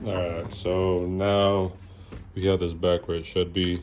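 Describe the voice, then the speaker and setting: Noticeable background noise accompanies a relaxed tone spoken at a fairly slow pace. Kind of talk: casual DIY tutorial talk. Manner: casual, relaxed.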